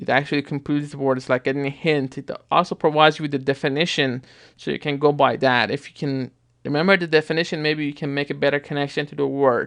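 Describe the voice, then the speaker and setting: Fairly high-pitched, a man speaks at a very fast pace. His intonation is monotone and flat. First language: not English (English is third or later). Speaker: app reviewer. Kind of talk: tutorial. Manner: casual, conversational with false starts.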